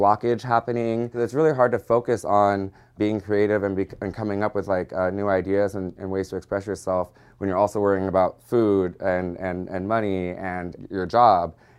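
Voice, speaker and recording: Over a quiet background, a man with a Californian accent talks at a fairly quick pace and a fairly low pitch, with fairly even intonation. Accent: Californian American. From San Diego, California. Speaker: drag performer and costume shop owner. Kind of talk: interview testimony.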